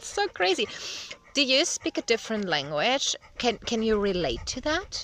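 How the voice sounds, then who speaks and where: In a German accent, a woman speaks at a high pitch and a moderate pace. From Germany. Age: 40s. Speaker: vlogger and German teacher. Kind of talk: casual vlog talk while walking. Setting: outdoors on a dog walk. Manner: halting, with fillers.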